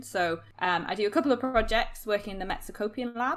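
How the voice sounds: Using ordinary pitch variation, a woman talks at a fast pace. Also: medium pitch for a woman.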